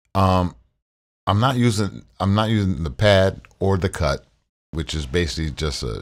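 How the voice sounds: A man's voice, with ordinary pitch variation, comes through on a very clean recording against a silent background.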